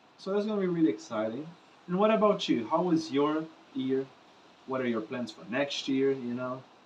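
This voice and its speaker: A man with a Portuguese accent, lively intonation and a moderate pace, over noticeable background noise. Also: fairly high pitch for a man. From Brazil. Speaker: musician and vlogger. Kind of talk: casual vlog monologue to camera. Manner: unscripted, casual with fillers.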